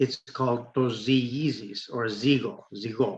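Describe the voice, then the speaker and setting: A somewhat breathy man with a Greek accent speaks with ordinary pitch variation. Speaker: podcast co-host. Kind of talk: casual discussion. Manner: halting, many fillers.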